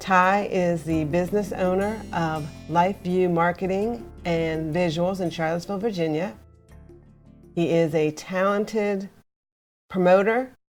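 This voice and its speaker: Over music in the background, the speech moves at a fairly slow pace with ordinary pitch variation. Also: woman, fairly low pitch for a woman. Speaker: interview host. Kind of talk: podcast intro read.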